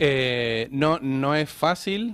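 The sound is dry with no echo, and the pitch varies in an ordinary way. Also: man. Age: 30s. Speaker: illustrator and animator; guest. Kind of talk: casual chat. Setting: studio. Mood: relaxed, friendly. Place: studio. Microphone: studio mic.

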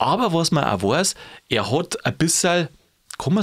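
This man speaks with a Bavarian accent. The recording is very clean, with a silent background. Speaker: podcast host. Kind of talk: podcast conversation.

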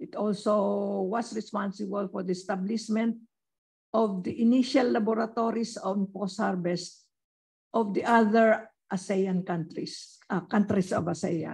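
A woman speaks at medium pitch, somewhat breathy. She keeps a fairly slow pace. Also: ordinary pitch variation. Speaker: former research center director. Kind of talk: speaker introduction.

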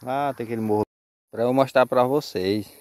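A man's medium-pitched voice, dark and mellow in tone, with a dry sound, no echo and a quiet background. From Brazil. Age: 20s. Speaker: motorcycle vlogger; motorbike vlogger. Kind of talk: casual vlog monologue. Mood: motivational, defiant. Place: open country. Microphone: phone near.

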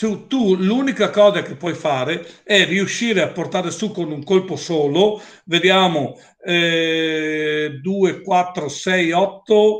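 Against a quiet background, a man talks at a very slow pace with a high pitch. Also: ordinary pitch variation. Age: 60s. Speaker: company owner presenting products; presenter. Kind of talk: product presentation with Q&A. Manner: assertive. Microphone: webcam.

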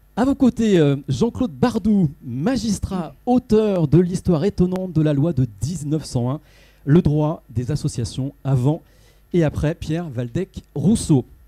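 Delivered at a very slow pace, the voice has a dark, mellow tone. Its pitch swings very widely against a quiet background. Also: man, fairly high pitch for a man. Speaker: journalist, debate moderator. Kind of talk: moderating a panel debate. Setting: stage with audience. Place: hall.

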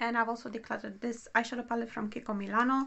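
A woman speaks in a high voice. She has a non-native accent. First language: not English. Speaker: beauty vlogger. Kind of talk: casual monologue, product review. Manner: halting, many fillers; not fluent, pauses to think.

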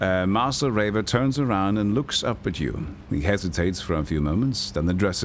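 The reading is straightforward and aloud, with intonation that stays lively.

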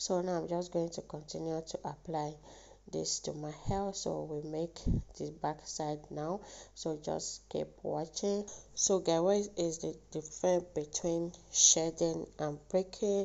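A woman's low-pitched voice with vocal fry, at a fairly slow pace. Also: fairly even intonation, slightly mellow tone.

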